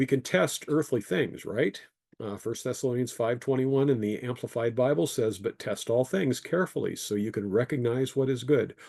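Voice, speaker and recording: With a dark, mellow tone and medium pitch, a man speaks with ordinary pitch variation over a quiet background. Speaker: engineer giving a creationist talk. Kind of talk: presentation with slides. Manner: fast.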